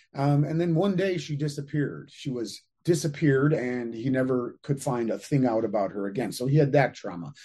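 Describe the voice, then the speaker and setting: Speaking at a fairly quick pace, a man with a fairly high pitch and a dark, mellow tone sounds somewhat breathy, his intonation lively. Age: 50s. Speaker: anti-aging author and entrepreneur. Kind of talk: interview conversation.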